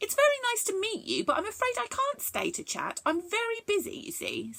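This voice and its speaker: Putting on a squeaky character voice, a woman talks at a fairly quick pace with an extremely high pitch. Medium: read story. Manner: polite, precise.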